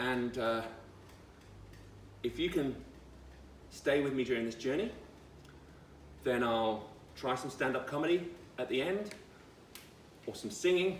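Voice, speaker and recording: A man's medium-pitched voice with lively intonation, at a fairly slow pace with long, frequent pauses, in audible room echo. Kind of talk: casual vlog monologue.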